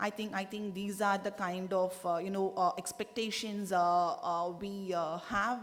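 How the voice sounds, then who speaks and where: Audible room echo surrounds a woman's medium-pitched voice as she speaks at a moderate pace with fairly even intonation. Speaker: government delegate. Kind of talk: conference statement. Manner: halting, many fillers.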